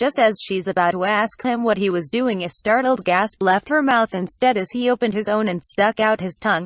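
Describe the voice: Ordinary pitch movement in a plain reading aloud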